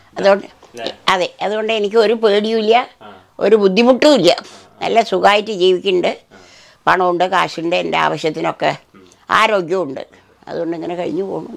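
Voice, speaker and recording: This woman's voice carries vocal fry, with ordinary pitch variation. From Palakkad, Kerala, India. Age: 80s+. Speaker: pickle maker. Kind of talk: casual interview answers about her life. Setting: at home, recorded outdoors or indoors with interviewer. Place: home room. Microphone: phone near.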